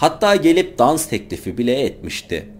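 A man's voice with vocal fry. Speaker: true-crime narrator. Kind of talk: true-crime storytelling narration.

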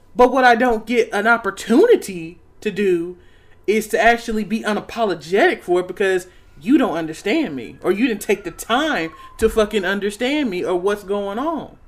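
The tone is animated and the pace moderate. Noticeable background noise runs underneath. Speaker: podcast co-host and poet. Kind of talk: casual banter, heated rant. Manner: animated, profane.

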